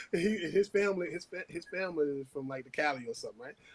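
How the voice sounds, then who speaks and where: Speaking with a strong New Orleans accent, a man with a fairly high voice and an animated tone moves at a fairly quick pace. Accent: New Orleans accent, still heavy. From New Orleans, uptown. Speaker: former pro basketball player, podcast guest-host. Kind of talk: casual chat.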